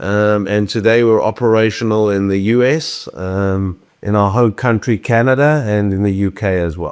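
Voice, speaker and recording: A man with a South African accent and a fairly low voice speaks with hardly any pauses. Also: ordinary pitch variation, moderate pace, quiet background. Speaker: company CEO. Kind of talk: interview.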